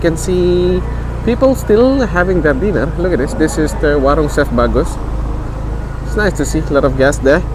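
The speech moves at a fairly quick pace. The sound is dry with no echo, and background noise is noticeable. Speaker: tour guide. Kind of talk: casual vlog commentary. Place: street.

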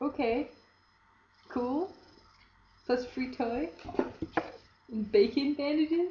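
Against noticeable background noise, a woman with high pitch and lively intonation talks very slowly, with long, frequent pauses. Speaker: vlogger. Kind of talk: casual vlog. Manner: low-energy. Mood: cheerful, amused. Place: home room. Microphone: webcam.

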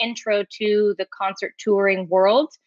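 A woman with an American accent, a dry sound with no echo, and a quiet background. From Washington State, US. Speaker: stadium event site coordinator. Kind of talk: panel interview. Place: home room. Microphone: webcam.

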